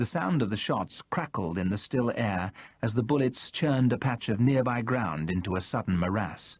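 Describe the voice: What we hear is plain reading aloud.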